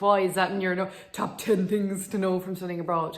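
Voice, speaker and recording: Speaking with an Irish accent, a woman uses a medium pitch. She keeps a moderate pace. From Ireland. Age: 20s. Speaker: vlogger, dental student. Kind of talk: casual vlog advice talk.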